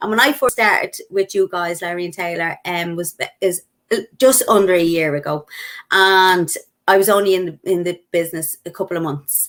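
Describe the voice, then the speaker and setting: A woman speaks with a Dublin accent at a moderate pace. Her pitch sits in the middle range and moves in an ordinary way. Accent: Irish (Dublin). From Ireland, Dublin. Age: 40s. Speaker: network marketer. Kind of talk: interview testimony. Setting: live video stream.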